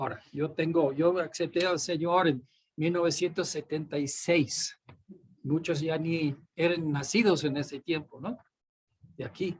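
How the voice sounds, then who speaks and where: This man talks at a fairly slow pace with fairly even intonation. His pitch is fairly high. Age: 60s. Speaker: pastor. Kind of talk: sermon. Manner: repetitive emphatic.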